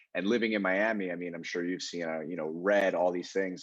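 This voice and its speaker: Speaking at a fairly quick pace, a man with a very deep, low pitch talks with an American accent. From New York, Long Island. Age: 20s. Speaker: real estate agent. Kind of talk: casual interview.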